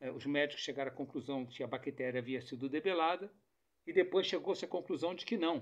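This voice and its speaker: Male speech, fairly quick in pace, showing ordinary pitch variation. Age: 60s. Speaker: political commentator. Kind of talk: monologue to camera. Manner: halting.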